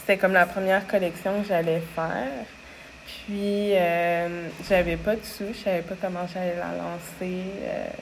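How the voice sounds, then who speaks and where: Monotone, flat intonation with big swings in loudness moves at a very slow pace through audible room echo. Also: woman, fairly low pitch for a woman. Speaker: clothing brand founder. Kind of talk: interview. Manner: calm, gentle.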